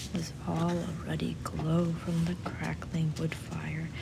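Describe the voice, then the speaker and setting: Soft-spoken and whispering, a woman talks over noticeable background noise. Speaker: audiobook reader. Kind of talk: literary audiobook reading. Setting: recorded in a library. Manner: very quiet, whispered-soft, ASMR style.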